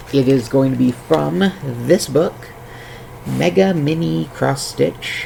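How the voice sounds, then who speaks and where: Amid noticeable background noise, a man speaks at a medium pitch and a very slow pace, his pitch swinging very widely between long, frequent pauses. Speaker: crafting streamer. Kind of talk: casual chat. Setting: live stream.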